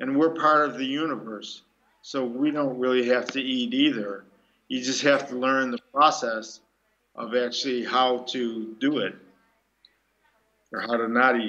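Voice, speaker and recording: A man's medium-pitched voice with an American accent, bright and sharp in tone, fairly slow with long, frequent pauses and fairly even intonation. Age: 60s. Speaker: breatharian speaker. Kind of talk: Q&A talk.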